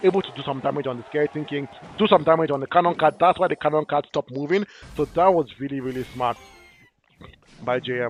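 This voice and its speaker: Speaking at a very fast pace with an animated tone, a man with a fairly high pitch and ordinary pitch variation is heard in a dry, close sound with no echo. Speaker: esports commentator. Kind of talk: live commentary. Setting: livestream.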